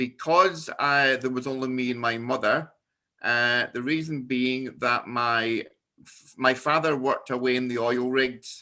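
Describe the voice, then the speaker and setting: Fairly slow, fairly even speech comes with a Scottish accent. The tone is bright and sharp. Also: man, medium pitch for a man. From Scotland. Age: 50s. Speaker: business networking founder. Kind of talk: personal presentation. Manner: halting.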